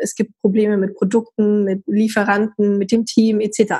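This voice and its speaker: With a normal speaking voice, a woman at a fairly high pitch keeps a moderate pace. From northern Germany, Hamburg. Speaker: entrepreneur and network founder. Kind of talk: interview.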